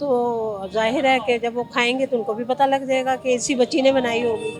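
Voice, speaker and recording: Over music in the background, a woman speaks at a high pitch with fairly even intonation. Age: 60s. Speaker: roadside biryani seller. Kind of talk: interview answer.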